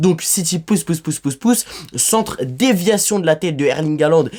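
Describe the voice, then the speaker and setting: In an animated tone, a man with a fairly high pitch talks using lively intonation. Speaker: football YouTuber. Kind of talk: hot-take match debrief. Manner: fast.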